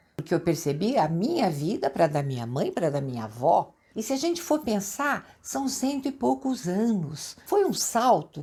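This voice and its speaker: A woman's somewhat breathy, medium-pitched voice with a dark, mellow tone, very wide pitch swings, a fairly slow pace and hardly any pauses. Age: 70s. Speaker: lifestyle vlogger. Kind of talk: casual chat. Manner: animated.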